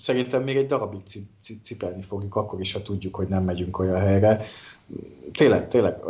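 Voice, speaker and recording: This man's pitch is very deep and low. He talks at a fairly quick pace. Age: 30s. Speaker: political podcast co-host. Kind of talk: casual political chat.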